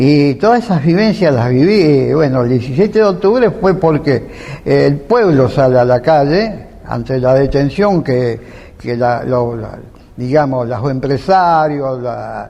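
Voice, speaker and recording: Noticeable background noise sits behind a man's voice. He speaks at a fairly slow pace with a fairly high pitch. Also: lively intonation. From Argentina, Rosario. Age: 80s+. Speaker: veteran political activist. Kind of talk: interview. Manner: halting.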